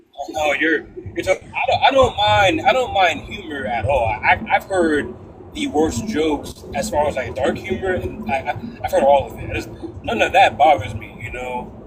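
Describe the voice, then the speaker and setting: Noticeable background noise behind a male speaker with an American accent, at a moderate pace. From Connecticut. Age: 20s. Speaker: panel participant. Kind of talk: casual chat. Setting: live stream panel. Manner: halting.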